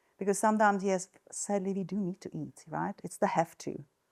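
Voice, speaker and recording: Recorded very cleanly with a silent background, a woman speaks at a moderate pace and medium pitch in a dry, close sound with no echo. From Czech Republic. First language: Czech. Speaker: nurse and wellness coach. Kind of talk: talk to an audience. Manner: hesitant, many fillers.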